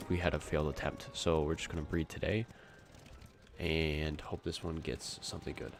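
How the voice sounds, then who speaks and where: Music plays in the background while the words come at a moderate speed. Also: man. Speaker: gaming streamer. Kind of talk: live gameplay stream commentary. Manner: casual, animated.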